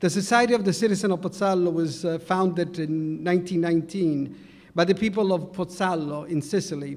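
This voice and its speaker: Speaking with a strong Italian accent, a man talks at a fairly quick pace in a high voice with fairly even intonation. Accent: heavy Italian. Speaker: community society president. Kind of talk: award acceptance speech.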